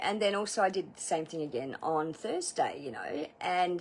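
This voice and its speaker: Someone speaks in an Australian accent at a moderate pace with ordinary pitch variation. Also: woman. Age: 40s. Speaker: outdoor instructor and former masseuse. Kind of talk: casual vlog testimonial. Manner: chatty, filler-heavy.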